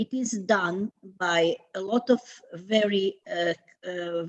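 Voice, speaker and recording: The sound is dry and close, without any echo. A woman talks at a medium pitch, varying it in an ordinary way. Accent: Croatian. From Croatia. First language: Croatian. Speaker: theatre institute president. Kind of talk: panel discussion. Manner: halting.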